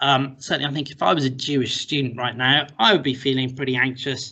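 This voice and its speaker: A very fast man with an English accent and fairly even intonation. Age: 40s. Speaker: university lecturer. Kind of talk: recorded interview.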